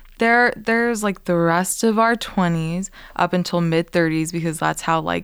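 On a very clean recording with a silent background, a woman with a fairly low pitch uses an ordinary speaking voice at a fairly slow pace with ordinary pitch variation. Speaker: podcast host. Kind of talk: casual chat.

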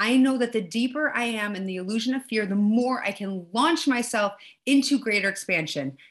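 This is a woman with an ordinary speaking voice, pitched fairly high. She keeps a moderate pace and her intonation is lively. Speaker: podcast host. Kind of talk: guided meditation; casual spiritual conversation.

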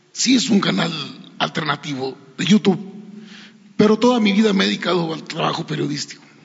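Noticeable background noise sits under a high-pitched man who talks fairly quickly but with long, frequent pauses. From Mexico, Coahuila (San Pedro de las Colonias). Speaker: journalist. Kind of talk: press conference question.

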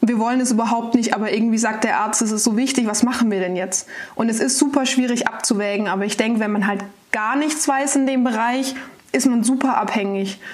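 Amid noticeable background noise and audible room echo, a woman with a fairly high voice speaks at a fairly quick pace with ordinary pitch variation. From Baden-Baden, southwest Germany. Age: 20s. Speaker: startup founder, speech therapist. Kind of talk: podcast interview.

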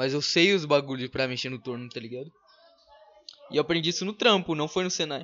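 A man's fairly high pitch at a very fast pace, with ordinary pitch variation and long, frequent pauses. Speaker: podcast host. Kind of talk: casual chat. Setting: live stream.

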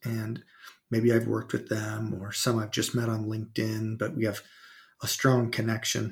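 A man speaks at a fairly slow pace in a calm, somewhat breathy tone at a medium pitch, with monotone, flat intonation. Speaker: marketing executive. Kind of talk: casual interview.

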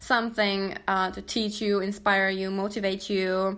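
A woman with a non-native accent talks at a moderate pace in a medium pitch. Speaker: podcast host and coach. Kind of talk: casual solo podcast monologue. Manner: animated.

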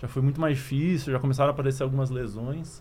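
A man talks at a very fast pace in a fairly high, somewhat breathy voice. His tone is dark and mellow, and his intonation fairly even. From Curitiba, southern Brazil. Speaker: former Olympic triathlete, youth sports project leader. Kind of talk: casual interview.

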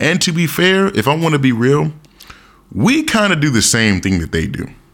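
Noticeable background noise behind a man at medium pitch, moderate pace, animated tone and very wide pitch swings. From United States. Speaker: podcast host. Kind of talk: casual monologue.

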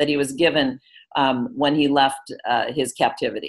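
A woman speaks with an American accent and vocal fry against a quiet background. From US Midwest, Wisconsin. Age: 50s. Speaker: metaphysician. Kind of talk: interview.

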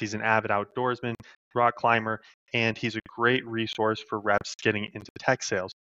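Speaking fairly quickly in a flat monotone, a man with a western US accent keeps to a medium pitch. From Idaho. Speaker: podcast host. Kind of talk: casual interview; scripted intro and outro. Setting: call.

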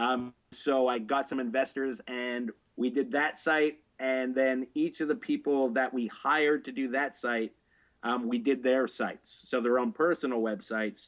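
A man with a Canadian accent and a normal speaking voice talks at a fairly slow pace, medium in pitch with fairly even intonation. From Canada. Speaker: adult film writer and director. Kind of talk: interview. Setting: video call.

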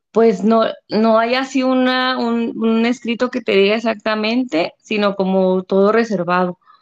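A woman speaks in a normal speaking voice at a fairly high pitch. Her pace is fairly slow with hardly any pauses and fairly even intonation. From Mexico, Delicias, Chihuahua. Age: 30s. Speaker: stay-at-home mother of a child with a rare syndrome. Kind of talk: interview testimony.

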